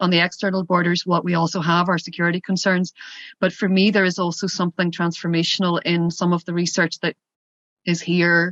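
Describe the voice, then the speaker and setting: In a Northern Irish accent, a woman speaks at a fairly quick pace with a fairly low pitch and monotone, flat intonation. The sound is dry and close with no echo, over a quiet background. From Northern Ireland, Derry. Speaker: border policy association representative. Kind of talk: workshop Q&A comment. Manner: hesitant, many fillers.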